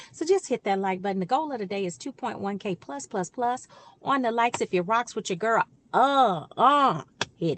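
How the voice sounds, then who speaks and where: In a dry, close recording with no echo, a woman with an American accent and a fairly high pitch speaks at a moderate pace in an animated tone. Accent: Georgia accent, coming out. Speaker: relationship coach and YouTuber. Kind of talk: casual direct-to-camera talk.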